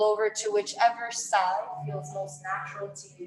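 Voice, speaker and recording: A woman's voice with noticeable background noise. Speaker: yoga instructor. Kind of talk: casual announcements; guided yoga class instruction. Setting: livestreamed online class. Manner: loud.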